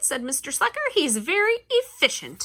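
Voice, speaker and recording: A woman in a put-on character voice speaks at a high pitch with very wide pitch swings. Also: moderate pace. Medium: read story. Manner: slow, vague.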